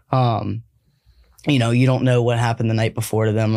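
At a fairly quick pace, a man speaks with a medium pitch and a dark, mellow tone, his intonation monotone and flat. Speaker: podcast host. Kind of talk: casual chat.

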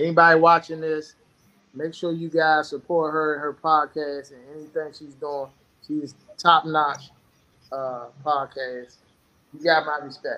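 Speech unfolds at a fairly slow pace. There are long pauses, and they come often. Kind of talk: casual chat.

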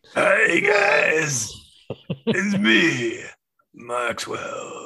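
A man puts on a raspy character voice, pitched high for a man. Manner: playful, greeting.

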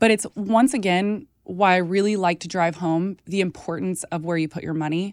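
A woman talks in an ordinary speaking voice with an American accent, at medium pitch and with ordinary pitch variation. Her moderate pace has hardly any pauses, and the very clean recording has a silent background and a dry, close sound with no echo. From Texas. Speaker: nutritionist and food activist. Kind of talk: casual interview chat.

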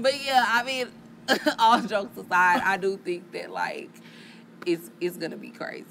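A woman speaks at a moderate pace and medium pitch, with lively intonation and big swings in loudness. Long, frequent pauses break up her talk over noticeable background noise. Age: 30s. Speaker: podcast host. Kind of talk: casual chat.

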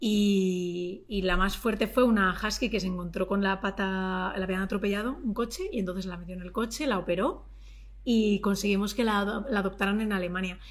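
At a moderate pace, a woman talks in a medium pitch with fairly even intonation. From Madrid, Spain. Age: 30s. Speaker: YouTuber and TV presenter. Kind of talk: casual interview chat.

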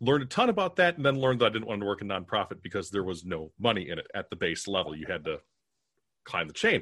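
Speaking at a very fast pace, a man uses a fairly low pitch with very wide pitch swings. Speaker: podcast producer and entrepreneur. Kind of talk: casual interview.

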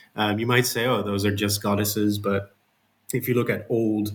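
With a Dutch accent, a man speaks at a fairly low pitch in a somewhat breathy voice. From Netherlands. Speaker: author and game studies researcher. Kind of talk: interview. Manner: halting, many fillers.

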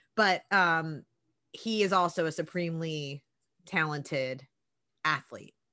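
A woman with a Philadelphia accent and a fairly low pitch speaks in an animated, bright, sharp tone with ordinary pitch variation, at a fairly slow pace with long, frequent pauses, against a quiet background. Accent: Philadelphia American. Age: 30s. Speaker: podcast co-host, sports broadcaster. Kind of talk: casual chat.

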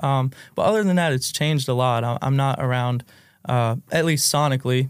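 Speaking with an American accent, a man talks at a medium pitch with fairly even intonation on a very clean recording with a silent background. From West Virginia, US. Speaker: singer and songwriter. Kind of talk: casual podcast interview. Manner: casual, laid-back.

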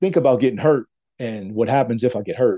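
The tone is dark and mellow, the pace fairly quick, and the pitch moves in an ordinary way. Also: man.

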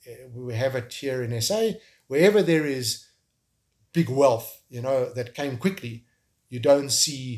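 A man talks at a fairly slow pace with a South African accent. His voice is somewhat breathy. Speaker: tech entrepreneur and filmmaker. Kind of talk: interview. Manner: halting, with frequent repetitions.

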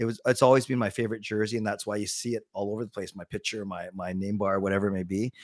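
In a very clean recording with a silent background, a man with a Canadian accent speaks very fast in a monotone, flat intonation. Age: 40s. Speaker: sports fan personality. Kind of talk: casual chat.

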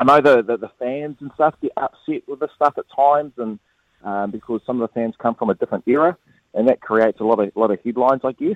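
At a very fast pace, a man with a New Zealand accent speaks in a medium pitch with ordinary pitch variation. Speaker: former international cricketer. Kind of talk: casual chat.

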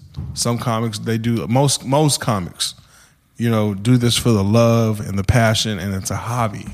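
Speaking with an American accent, a man uses a normal speaking voice at medium pitch, moderate pace and fairly even intonation. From US, San Antonio, Texas. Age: 30s. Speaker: stand-up comedian. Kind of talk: casual interview chat.

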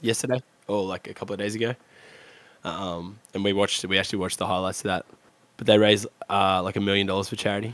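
A man with a fairly low pitch talks at a very fast pace, broken by long, frequent pauses. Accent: Australian. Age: 20s. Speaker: video game streamer. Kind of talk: casual chat. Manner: animated.

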